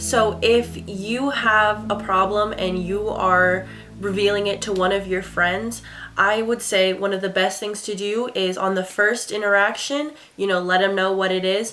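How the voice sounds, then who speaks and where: A woman's upbeat tone at medium pitch and a fairly slow pace, with music in the background. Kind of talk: casual talk to camera.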